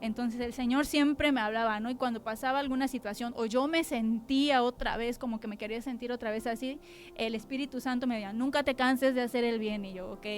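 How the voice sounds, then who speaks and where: At a fairly quick pace with hardly any pauses, a woman speaks at a high pitch with fairly even intonation. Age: 30s. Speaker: church women's speaker. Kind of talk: testimony. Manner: blunt, sounds stern.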